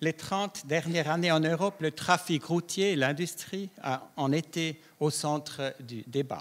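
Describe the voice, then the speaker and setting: The speech runs at a fairly slow pace with hardly any pauses and ordinary pitch variation, in a very clean recording with a silent background. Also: man, fairly high pitch for a man. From Switzerland, Davos (Graubünden). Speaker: public health scientist. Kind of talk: conference talk. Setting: round-table conference with audience.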